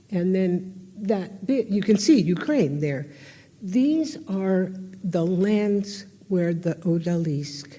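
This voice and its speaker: An American-accented woman speaks very slowly with lively intonation in a medium pitch. Her tone is dark and mellow, and somewhat breathy. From United States. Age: 80s+. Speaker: historian and artist. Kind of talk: public lecture.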